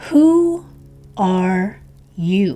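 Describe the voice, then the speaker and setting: Using a put-on character voice, a woman at medium pitch makes very wide pitch swings. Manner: languid, sleepy.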